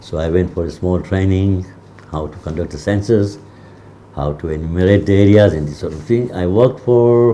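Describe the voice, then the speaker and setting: Noticeable background noise under a man's very deep, low voice. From Tanzania (Ujiji/Kigoma). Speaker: community historian. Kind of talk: interview.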